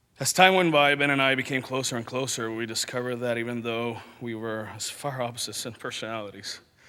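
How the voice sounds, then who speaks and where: At a very fast pace with hardly any pauses, a man speaks in a bright, sharp tone at a medium pitch with ordinary pitch variation. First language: not English. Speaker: friend giving eulogy. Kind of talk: memorial speech read from notes. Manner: halting.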